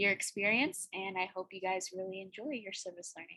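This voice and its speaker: Her tone is bright and sharp, at a medium pitch. She is a woman speaking with a Spanish accent. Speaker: university student. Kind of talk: student presentation on video call. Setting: video call.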